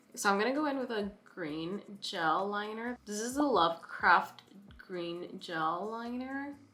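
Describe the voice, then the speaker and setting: Lively intonation over music in the background. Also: woman. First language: not English. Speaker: beauty vlogger. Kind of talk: makeup tutorial. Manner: casual, chatty.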